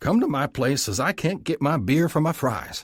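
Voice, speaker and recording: A man puts on a character voice that is gruff and rumbling, pitched fairly high. He keeps a moderate pace with lively intonation. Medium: read story. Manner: gruff, grumbling.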